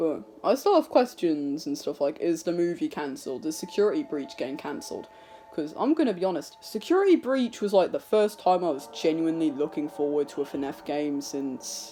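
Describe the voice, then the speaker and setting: Music plays in the background. The speech moves at a fairly quick pace with hardly any pauses. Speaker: youtuber. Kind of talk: casual vlog monologue. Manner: halting, unscripted.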